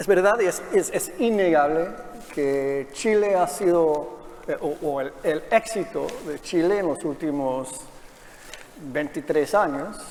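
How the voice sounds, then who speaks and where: Noticeable background noise surrounds a high-pitched man who speaks at a moderate pace with ordinary pitch variation. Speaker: panel moderator, policy researcher. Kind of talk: panel moderation. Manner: halting, many fillers.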